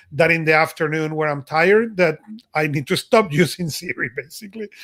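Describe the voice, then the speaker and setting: This voice carries a Spanish accent and a bright, sharp tone. The pace is moderate, with ordinary pitch variation. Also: man. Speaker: podcast co-host. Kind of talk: casual chat.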